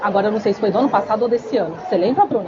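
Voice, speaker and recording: A woman speaks with lively intonation. Audible room echo and crowd noise fill the background. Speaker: biomedical aesthetics instructor. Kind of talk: lecture. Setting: stage with audience, microphone. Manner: soft-spoken; casual, chatty.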